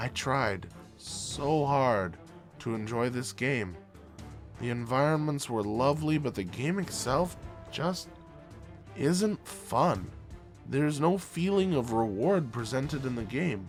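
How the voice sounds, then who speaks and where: A man at medium pitch talks very slowly with very wide pitch swings and long, frequent pauses while music plays in the background. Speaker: game reviewer. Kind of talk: video game review narration.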